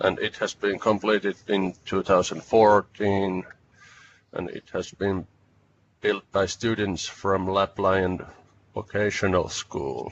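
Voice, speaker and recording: Speech comes very slowly in a Finnish accent, its intonation flat and monotone. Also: man, fairly low pitch for a man. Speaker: researcher. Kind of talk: webinar presentation. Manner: halting.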